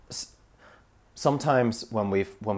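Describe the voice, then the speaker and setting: At a moderate pace, a man talks in a fairly low pitch with ordinary pitch variation, in a very clean recording with a silent background. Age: 20s. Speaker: solo podcaster. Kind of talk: personal monologue. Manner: halting, many fillers and restarts.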